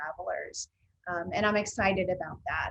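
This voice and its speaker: An ordinary speaking voice at a moderate pace. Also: woman. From United States. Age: 50s. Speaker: consultant on racial equity. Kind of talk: webinar conversation.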